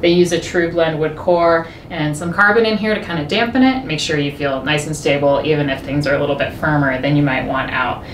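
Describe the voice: Speech moves at a fairly quick pace with few pauses and ordinary pitch variation. Background noise is clearly audible. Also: woman, low pitch for a woman.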